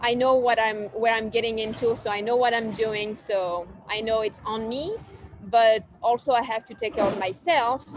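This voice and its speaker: Someone with a French accent talks at a moderate pace over noticeable background noise. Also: woman. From southern France. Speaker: cafe owner. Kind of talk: casual interview. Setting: outdoors on a park bench.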